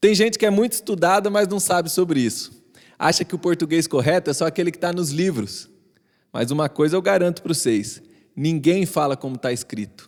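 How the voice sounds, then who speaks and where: In a rural Brazilian accent, a man with a high pitch talks at a fairly quick pace with lively intonation, on a very clean recording with a silent background. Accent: caipira rural Brazilian. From São Paulo countryside, Brazil.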